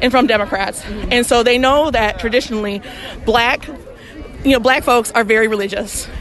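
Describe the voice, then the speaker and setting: A woman with a Southern US accent talks at a fairly quick pace in a fairly high, animated voice. Noticeable background noise runs behind her. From US South, Mississippi. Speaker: reproductive rights activist. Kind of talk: interview; rally speech. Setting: outdoor rally.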